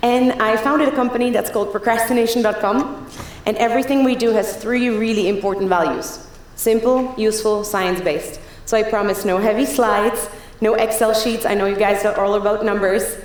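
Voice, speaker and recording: A woman's fairly high voice at a fairly quick pace, with very even loudness, audible room echo and noticeable background noise. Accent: Czech. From Czech Republic. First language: Czech. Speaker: keynote speaker. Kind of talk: conference talk. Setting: stage with audience. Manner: fast; animated.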